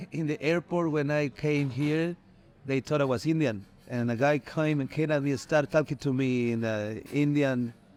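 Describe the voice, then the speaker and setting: With a Mexican accent, a man talks at a moderate pace with ordinary pitch variation. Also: fairly high pitch for a man. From Mexico. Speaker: Mexican immigrant interviewee. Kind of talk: interview.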